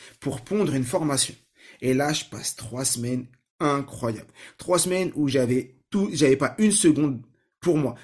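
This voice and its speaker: A somewhat breathy man with a fairly high pitch uses lively intonation and leaves long, frequent pauses. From France, Saint-Ouen (Seine-Saint-Denis, Paris suburbs). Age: 30s. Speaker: learning techniques trainer, podcast host. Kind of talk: personal story monologue.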